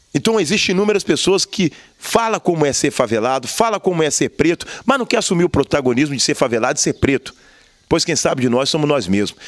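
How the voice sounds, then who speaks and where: A man with a fairly high voice speaks at a very fast pace with very wide pitch swings. The sound is dry with no echo, and the background is quiet. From Brazil, Juiz de Fora (Minas Gerais); Minas Gerais, Brazil. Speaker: activist and former city council candidate; council candidate. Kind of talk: interview. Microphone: handheld.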